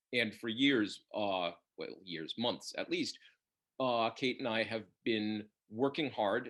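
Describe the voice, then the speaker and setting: A man with an American accent speaks in an ordinary speaking voice at a fairly slow pace. His medium pitch has ordinary variation, and the recording is very clean with a silent background. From US. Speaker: bookseller and interviewer. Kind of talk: author interview. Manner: formal.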